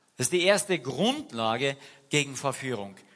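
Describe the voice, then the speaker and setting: The tone is animated, bright and sharp. Intonation is lively throughout. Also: man. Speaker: preacher. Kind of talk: sermon in church, casual and direct, mixing anecdotes with scripture. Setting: church. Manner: animated, conversational, uses rhetorical questions and urging imperatives.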